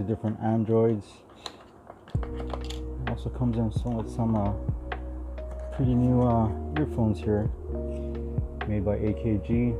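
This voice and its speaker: Music behind a man's moderately paced speech. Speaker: vlogger unboxing a phone. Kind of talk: casual unboxing commentary. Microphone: phone near.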